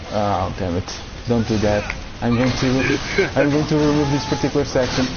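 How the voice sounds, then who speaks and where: There is audible room echo and noticeable background noise. A man talks at a medium pitch with ordinary pitch variation. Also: moderate pace. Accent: non-native. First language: not English. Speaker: gaming streamer. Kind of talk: casual chat.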